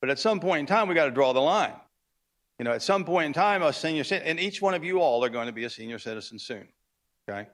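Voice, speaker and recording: A man talks at a very fast pace in a fairly high pitch. His pitch swings are very wide. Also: very clean recording, silent background. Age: 60s. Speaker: cattle rancher speaking at public comment. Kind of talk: public comment at city council meeting. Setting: city council chamber. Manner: halting, many fillers.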